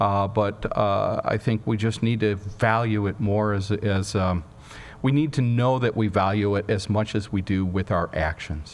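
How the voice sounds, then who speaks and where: A man speaks in an ordinary speaking voice, fairly low in pitch, at a fairly slow pace. His intonation is fairly even and his loudness very even. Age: 60s. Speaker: journalist and news editor. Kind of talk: Q&A after a public talk.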